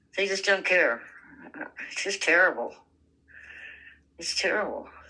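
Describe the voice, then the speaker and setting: Bright and sharp in tone, a woman's voice sits at medium pitch with some vocal fry. Her intonation is lively and her pace moderate. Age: 70s. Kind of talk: casual conversation, giving life advice.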